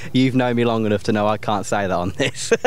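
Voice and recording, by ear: At a fast pace, a man speaks in a fairly low pitch with ordinary pitch variation.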